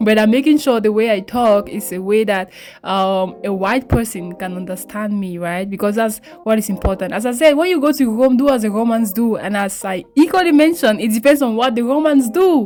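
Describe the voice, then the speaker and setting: Music plays behind a woman with a fairly high pitch and lively intonation. She talks at a fairly quick pace with hardly any pauses. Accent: Cameroonian. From Cameroon, English-speaking region. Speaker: beauty vlogger. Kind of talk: tutorial. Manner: casual, chatty.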